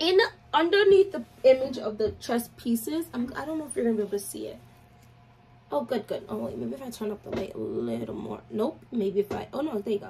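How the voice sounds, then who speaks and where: Fairly quick speech with big swings in loudness over light background noise. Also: woman. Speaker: fragrance reviewer. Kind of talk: casual vlog chat. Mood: chatty and playful. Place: home room. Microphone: phone near.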